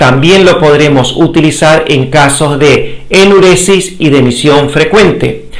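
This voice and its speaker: A man at a very slow pace over a quiet background. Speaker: health educator. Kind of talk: lecture.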